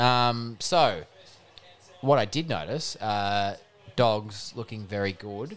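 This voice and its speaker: With an Australian accent, a man speaks very slowly at a medium pitch, with ordinary pitch variation and long, frequent pauses. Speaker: podcast co-host, sports talk. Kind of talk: casual banter about sport.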